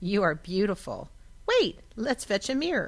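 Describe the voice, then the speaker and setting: Putting on a character voice, a woman speaks at a moderate pace with a fairly high pitch and very wide pitch swings. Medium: read story.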